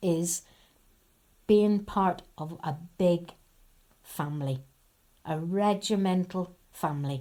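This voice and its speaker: Her voice has a Northern Irish accent and a dark, mellow tone. This woman speaks with lively intonation. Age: 70s. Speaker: army wife and daughter, oral history interviewee. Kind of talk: oral history interview. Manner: conversational, anecdotal.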